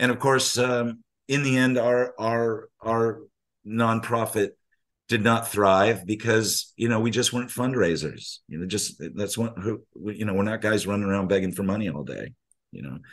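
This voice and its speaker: A man with an American accent and an ordinary speaking voice, medium pitch, ordinary pitch variation and a moderate pace. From US Navy family, raised partly abroad and in California. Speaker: surf journalist and author. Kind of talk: casual interview conversation.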